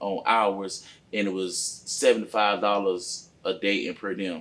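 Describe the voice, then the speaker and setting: Pitch variation here is ordinary. The voice belongs to a man. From Lakeland, Florida. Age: 30s. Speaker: truck driver and entrepreneur. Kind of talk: podcast interview, personal story. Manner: casual, halting with fillers.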